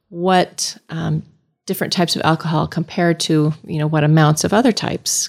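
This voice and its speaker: A woman with an ordinary speaking voice talks at a moderate pace, her pitch fairly low with ordinary variation. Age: 50s. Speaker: family physician. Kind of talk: casual interview.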